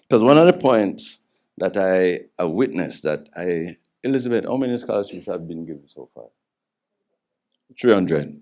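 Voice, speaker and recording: A man's fairly low, dark and mellow voice at a fairly quick pace, with lively intonation. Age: 60s. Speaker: event co-patron and runner. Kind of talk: public speech.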